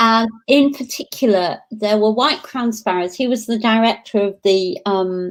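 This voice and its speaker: A woman with a Lancashire accent talks in a fairly high pitch with ordinary pitch variation. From northern England, Blackpool, Lancashire. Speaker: professor. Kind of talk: interview. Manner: animated.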